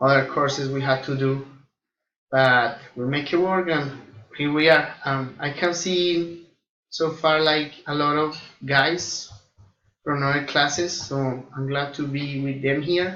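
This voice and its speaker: With a Colombian accent, a man talks at a fairly high pitch and fairly slow pace, keeping his intonation fairly even and taking long, frequent pauses amid audible room echo. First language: Spanish. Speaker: air force flight engineer and student. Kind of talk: self-introduction to classmates. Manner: hesitant, many fillers.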